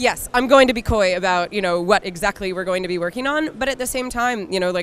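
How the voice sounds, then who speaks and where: A very fast delivery with lively intonation, in a slight Philadelphia accent. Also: woman, medium pitch for a woman. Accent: slight Philadelphia accent, mainly on 'water'. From US Northeast, Philadelphia. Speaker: game studio community manager. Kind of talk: casual interview. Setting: trade show floor. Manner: many fillers, hesitant restarts.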